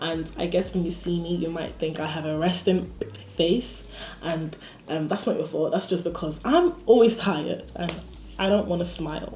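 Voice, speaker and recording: The speaker goes at a moderate pace. There is audible room echo and noticeable background noise. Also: woman. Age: 20s. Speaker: vlogger and university student. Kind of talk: casual vlog monologue. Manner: casual, chatty.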